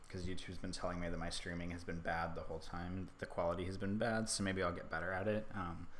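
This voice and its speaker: A man's very deep, low voice, very fast and fairly even in intonation, with audible room echo. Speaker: hobby photographer streaming his editing. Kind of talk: casual livestream tutorial. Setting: livestream from laptop. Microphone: stream quality reported bad.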